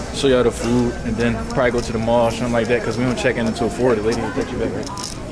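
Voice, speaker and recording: Against loud background noise, a man talks at a very fast pace with hardly any pauses. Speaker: vlogger. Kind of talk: casual vlog chat. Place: station. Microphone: phone near.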